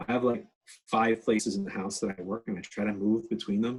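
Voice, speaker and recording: At a very fast pace, a man with a Canadian accent speaks. His pitch is medium, with ordinary variation. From Canada, northern New Brunswick. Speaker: education researcher and workshop speaker. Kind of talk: online workshop talk. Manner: casual, animated.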